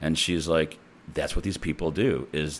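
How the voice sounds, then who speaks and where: With vocal fry and ordinary pitch variation, a man speaks in a very deep, low pitch. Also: very clean recording, silent background. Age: 50s. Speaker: podcaster and DJ. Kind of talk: casual monologue.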